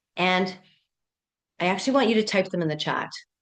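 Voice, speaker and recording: With ordinary pitch variation, the speaking pace stays fairly quick. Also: woman. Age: 60s. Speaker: pleasure and life coach. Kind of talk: live coaching workshop. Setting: video call. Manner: animated.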